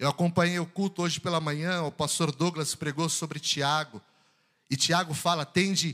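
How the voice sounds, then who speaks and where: A man's voice sits fairly high in pitch with a bright, sharp tone. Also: very clean recording, silent background. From São Paulo, Brazil. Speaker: preacher. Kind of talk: sermon. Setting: church. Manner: animated.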